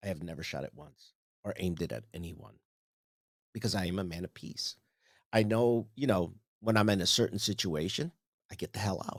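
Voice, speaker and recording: A man with a fairly low pitch sounds animated, moving at a fairly quick pace yet with long, frequent pauses. His loudness swings widely, pitch variation is ordinary, and the recording is very clean with a silent background. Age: 60s. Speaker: podcast host. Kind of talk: solo monologue rant. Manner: halting.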